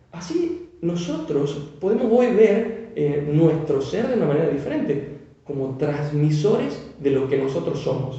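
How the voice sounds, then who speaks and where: Speaking in a Tucumán accent, a man with a fairly high pitch and lively intonation talks at a fairly slow pace with hardly any pauses, amid noticeable background noise and audible room echo. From Tucumán, northwest Argentina. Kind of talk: devotional talk.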